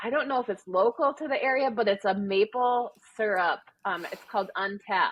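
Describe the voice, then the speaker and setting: With a Wisconsin accent, a woman speaks at a moderate pace in a fairly high voice with ordinary pitch variation. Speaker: amateur marathon runner. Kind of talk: casual interview. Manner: conversational with frequent fillers.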